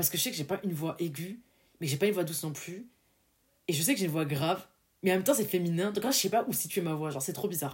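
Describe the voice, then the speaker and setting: Talking at a very fast pace broken by long, frequent pauses, a woman with a fairly low pitch sounds somewhat breathy, using lively intonation and an animated tone. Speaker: podcast host. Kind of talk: solo motivational podcast monologue.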